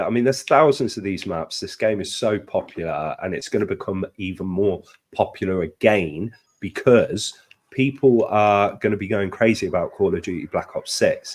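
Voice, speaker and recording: In a British accent, a man talks at a moderate pace. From Britain. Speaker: gaming streamer. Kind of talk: casual chat. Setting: live stream.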